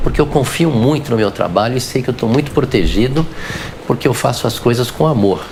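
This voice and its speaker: A man's fairly quick speech with lively intonation over noticeable background noise. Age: 60s. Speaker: physician. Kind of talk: interview.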